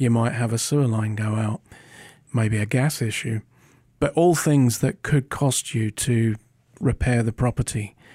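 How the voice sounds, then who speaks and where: A man's medium-pitched, somewhat breathy voice with a British accent and a dark, mellow tone, fairly even in intonation at a moderate pace, dry and close with no echo in a very clean recording with a silent background. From Britain. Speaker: podcast co-host. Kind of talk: interview-style discussion.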